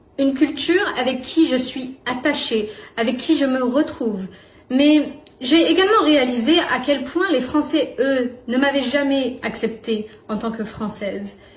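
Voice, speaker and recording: High-pitched, a woman speaks at a fairly slow pace. Noticeable background noise and audible room echo fill the recording. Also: ordinary pitch variation. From northern France. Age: young. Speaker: YouTuber. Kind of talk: personal vlog monologue.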